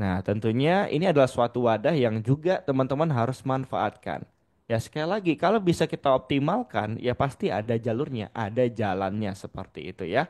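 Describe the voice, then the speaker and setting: A man talks at a fairly quick pace with hardly any pauses and lively intonation. The sound is dry and close, with no echo. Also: medium pitch for a man. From Padang, West Sumatra, Indonesia. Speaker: digital marketing trainer. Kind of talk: webinar presentation. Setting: Zoom video call. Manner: casual, interactive.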